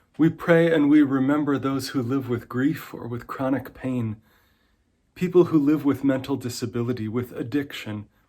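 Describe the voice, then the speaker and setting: This man has a normal speaking voice with medium pitch. He talks at a moderate pace with fairly even intonation. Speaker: minister leading a prayer in an online church service. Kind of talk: worship prayer / pastoral reading. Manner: calm, gentle.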